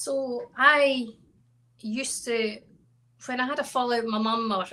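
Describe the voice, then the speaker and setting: A woman speaks in a high pitch at a fairly slow pace. Her intonation stays fairly even over noticeable background noise. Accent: Scottish. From Scotland, Stirling. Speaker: country singer-songwriter. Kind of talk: interview.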